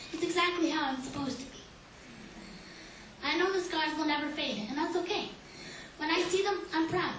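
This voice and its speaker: Over noticeable background noise and audible room echo, a woman talks at a moderate pace in a high pitch with ordinary pitch variation. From Canada, Winnipeg, Manitoba. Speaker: patient speaker at a hospital conference. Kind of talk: prepared speech; panel Q&A answer. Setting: conference stage with audience.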